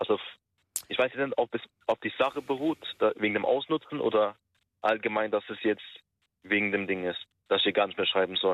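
A man speaks at a moderate pace. He takes long, frequent pauses. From Turkish-German community. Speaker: caller. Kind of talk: phone-in call. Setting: phone call.

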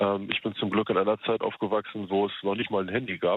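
Using an ordinary speaking voice, a man talks fairly low in pitch and at a moderate pace. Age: 30s. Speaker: radio call-in listener. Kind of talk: casual phone chat.

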